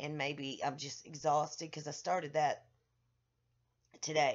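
At a fairly slow pace, a woman speaks with a very deep, low pitch. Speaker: vlogger. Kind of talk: casual vlog chat. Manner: drowsy, drained, low-energy voice. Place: home room. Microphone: webcam.

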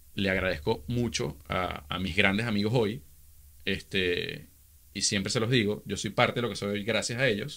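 The speaker has a bright, sharp tone and talks at a moderate pace with a Venezuelan accent. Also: man, fairly low pitch for a man, ordinary pitch variation. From Venezuela (Caracas). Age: 30s. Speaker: social media influencer. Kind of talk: casual interview. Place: studio. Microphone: studio mic.

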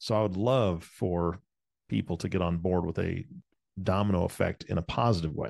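A man talks at a moderate pace against a quiet background. The sound is dry and close, with no echo. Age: 40s. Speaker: podcast co-host. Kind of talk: casual chat.

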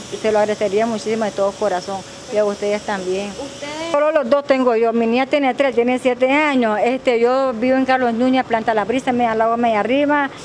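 Over light background noise, a woman speaks fairly quickly at a high pitch with ordinary pitch variation and hardly any pauses. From Nicaragua, Boaco; Nicaragua. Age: 30s. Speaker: single mother seeking aid. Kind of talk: news interview testimony; interview answer. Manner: halting, many repetitions and fillers. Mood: pleading, earnest. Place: street. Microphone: handheld.

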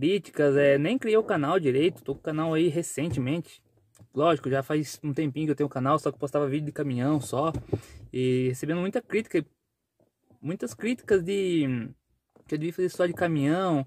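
A man talks at a moderate pace with long, frequent pauses and a fairly high pitch with ordinary variation, in a dry sound with no echo and light background noise. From Brazil, rural countryside. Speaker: vlogger and truck driver; vlogger. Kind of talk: casual vlog talk to camera. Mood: defiant about criticism. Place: car. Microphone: phone near.

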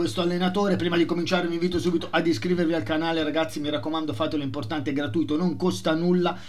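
Over light background noise, a man talks at a very fast pace with hardly any pauses. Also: ordinary pitch variation. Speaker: football channel host. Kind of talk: casual vlog commentary. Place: home room.

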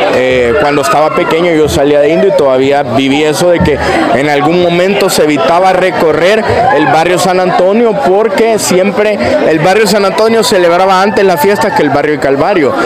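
Lively intonation carries over crowd noise in the background. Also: man, high pitch for a man, moderate pace, very even loudness. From El Salvador, Chalatenango. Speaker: content creator. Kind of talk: casual conversation. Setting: outdoors at a street festival. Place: street.

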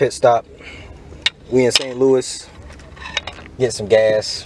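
A man speaks at a very slow pace. There is noticeable background noise, and the sound is dry with no echo. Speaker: road trip vlogger. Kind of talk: casual vlog chat. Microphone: phone near.

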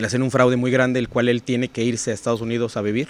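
A man speaks at a medium pitch, the sound dry with no echo. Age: 40s. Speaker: financial advisor and entrepreneur; podcast guest. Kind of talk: interview conversation. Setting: hotel recording location. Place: open country. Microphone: studio mic.

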